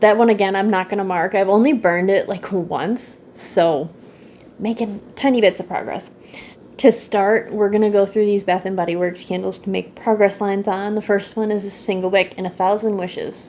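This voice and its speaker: Having an ordinary speaking voice, a woman speaks at a moderate pace and medium pitch with fairly even intonation. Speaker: candle YouTuber. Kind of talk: casual product review vlog.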